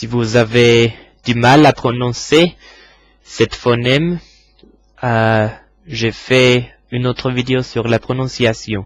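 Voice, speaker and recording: A man's medium-pitched voice, very slow and fairly even in intonation, broken by long, frequent pauses. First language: English (speaking French). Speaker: English teacher. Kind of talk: tutorial. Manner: halting.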